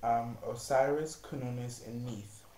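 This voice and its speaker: A soft-spoken man's somewhat breathy voice, medium-pitched with a dark, mellow tone, in audible room echo. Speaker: psychic reader. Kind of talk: tarot and astrology reading monologue. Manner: soft-spoken, low volume; halting with many fillers.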